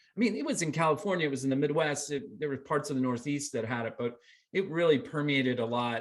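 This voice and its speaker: Speaking with an American accent, a man uses a fairly high pitch with ordinary pitch variation. His is an ordinary speaking voice at a fairly quick pace. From US South, Columbia, South Carolina. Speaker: filmmaker. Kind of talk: interview.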